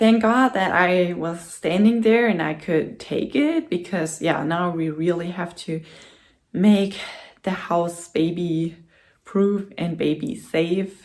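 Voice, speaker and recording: A woman's fairly low voice in a German accent, with ordinary pitch variation. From Germany. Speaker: vlogger. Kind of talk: casual vlog talk to camera. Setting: home, in front of the camera. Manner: hesitant, with many fillers.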